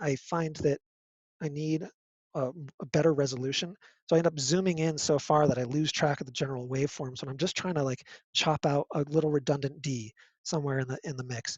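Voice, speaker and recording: The man's somewhat breathy voice moves along at a fairly quick pace. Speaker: music technology lecturer. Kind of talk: lecture. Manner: halting, many fillers.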